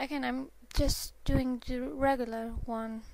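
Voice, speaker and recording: A woman speaking at a very slow pace with a non-native accent, over noticeable background noise. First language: not English. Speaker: drawing tutorial maker. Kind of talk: tutorial. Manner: halting. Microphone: poor sound quality.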